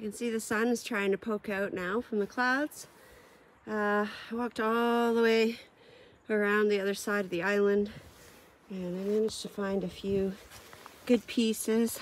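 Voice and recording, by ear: A woman at a medium pitch and fairly slow pace, with fairly even intonation.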